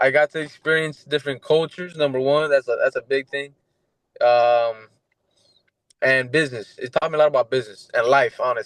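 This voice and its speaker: Heard in a dry, close recording with no echo, a man talks at a moderate pace, leaving long, frequent pauses. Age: 20s. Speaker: MMA fighter. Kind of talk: casual interview. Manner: halting.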